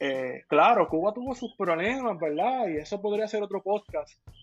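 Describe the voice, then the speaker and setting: Music plays in the background as a man speaks at a moderate pace. His pitch is high, and his intonation is lively. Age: 20s. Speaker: municipal legislative candidate and history teacher. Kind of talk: political interview.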